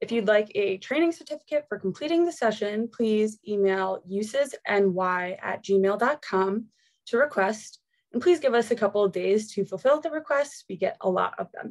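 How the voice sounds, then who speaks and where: Against a quiet background, a woman speaks at a moderate pace with lively intonation. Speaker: webinar host. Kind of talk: webinar introduction and housekeeping. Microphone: video call.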